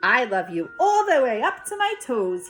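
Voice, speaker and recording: At a moderate pace, a woman performs a put-on character voice over clear background noise. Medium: read story. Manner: eager, affectionate.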